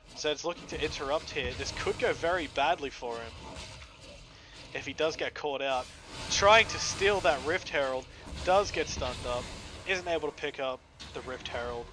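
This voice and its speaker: Over background music, a man speaks at a moderate pace with fairly high pitch, ordinary pitch variation, and long, frequent pauses. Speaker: esports shoutcaster. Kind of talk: live game commentary.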